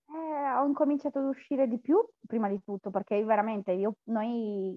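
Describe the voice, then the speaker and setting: A woman with a normal speaking voice talks at a moderate pace and a fairly high pitch, with ordinary pitch variation. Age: 30s. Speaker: coaching client, factory worker. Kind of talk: testimonial interview.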